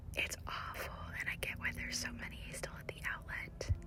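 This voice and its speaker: A woman whispers at a moderate pace as noticeable background noise carries on behind her. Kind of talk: whispered ASMR shop-with-me talk. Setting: recorded on location in a store. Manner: whispered, soft-spoken, calming.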